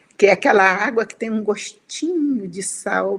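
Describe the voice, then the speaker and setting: Her voice is fairly high in pitch and somewhat breathy. The woman speaks at a moderate pace with lively intonation. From Espírito Santo, Brazil (Conceição da Barra, near Bahia). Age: 80s+. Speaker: writer. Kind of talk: interview.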